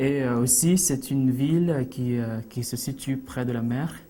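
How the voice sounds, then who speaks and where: A man speaks at a medium pitch with fairly even intonation, and some room echo can be heard. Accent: Philippine. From Philippines, Iligan, Mindanao. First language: Cebuano (speaking French). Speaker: immigrant interviewee. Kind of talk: TV interview. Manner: halting, many hesitations.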